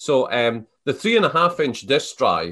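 With a Scottish Borders accent, a man talks at a moderate pace against a quiet background. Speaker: entrepreneur. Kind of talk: interview.

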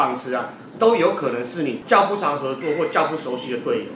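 A man's fairly high-pitched voice, with ordinary pitch variation, carries through audible room echo and noticeable background noise. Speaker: baseball podcast co-host. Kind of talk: casual chat.

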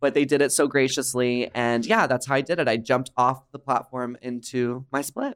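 With an American accent, a man in a plain, everyday voice talks at a moderate pace and medium pitch. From Dallas, Texas. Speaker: drag performer and podcast host. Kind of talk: casual chat. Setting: studio, in person.

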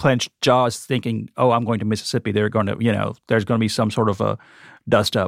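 Vocal fry with fairly even intonation, a dry, close sound with no echo, and a very clean recording with a silent background. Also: man. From India (Gujarat). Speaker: chef. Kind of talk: interview. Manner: halting, repeats words.

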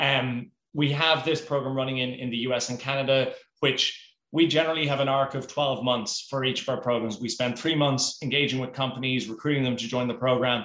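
Talking at a fairly quick pace in an Irish accent, a man uses a medium pitch, a bright, sharp tone and monotone, flat intonation. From Ireland. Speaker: four-day week advocacy program manager. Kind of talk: interview.

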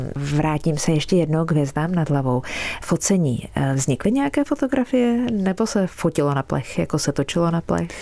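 A woman's very deep, low voice at a moderate pace, with very wide pitch swings and very even loudness, amid noticeable background noise. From Czech Republic, Prague. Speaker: radio host and meteorologist. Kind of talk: radio interview.

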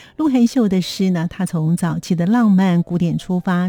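Somewhat breathy and dark, mellow in tone, a woman at medium pitch speaks with lively intonation in a dry, close sound with no echo. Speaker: radio host. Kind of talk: radio show hosting.

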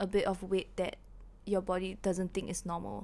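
On a very clean recording with a silent background, a plain, everyday voice goes at a moderate pace. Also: woman. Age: 20s. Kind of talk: casual chat.

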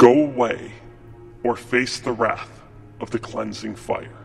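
This man uses a booming, put-on character voice at a medium pitch. He speaks at a fairly slow pace over clear background noise. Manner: threatening, commanding.

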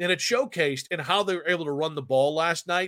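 Speaking at a moderate pace, a man has a bright, sharp tone, a high pitch and ordinary pitch variation. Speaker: sports radio podcast host. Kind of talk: casual sports talk. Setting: studio. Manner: loud; animated.

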